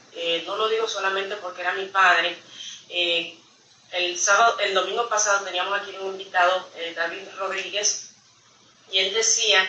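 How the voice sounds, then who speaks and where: A medium-pitched woman's voice at a moderate pace, monotone and flat, with audible room echo and noticeable background noise. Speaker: church member giving testimony. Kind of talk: testimony. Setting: church service. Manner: halting, many fillers.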